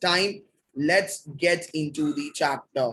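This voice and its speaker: This is a man talking. His pitch sits fairly high. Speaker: biology teacher. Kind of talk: lecture. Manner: soft-spoken; fast.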